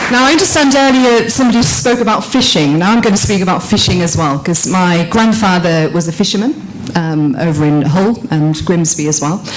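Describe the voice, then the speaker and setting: A woman talks at a fairly quick pace with very wide pitch swings and very even loudness, with audible room echo and noticeable background noise. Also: medium pitch for a woman. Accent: Yorkshire. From Yorkshire, northern England. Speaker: politician. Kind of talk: conference speech.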